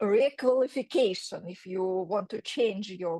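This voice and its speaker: In a dry, close sound with no echo, a woman with a Russian accent talks at a fairly slow pace. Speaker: career counselor. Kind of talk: workshop presentation. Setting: video call. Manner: halting, many fillers.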